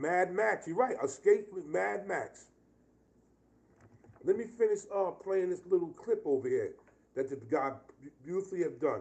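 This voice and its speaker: In a New York accent, a man speaks at a moderate pace with an animated tone. He leaves long, frequent pauses. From New York (Bronx, Yonkers). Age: 50s. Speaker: vlogger reacting to news. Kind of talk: live reaction commentary.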